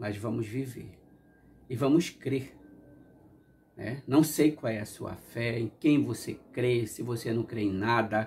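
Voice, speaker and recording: At a very slow pace, a man talks with long, frequent pauses, fairly even intonation and a somewhat breathy sound. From Brazil. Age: 60s. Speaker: YouTuber; vlogger. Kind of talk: casual monologue reflection; casual reflective vlog chat. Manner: halting. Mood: warm, reflective. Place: home room.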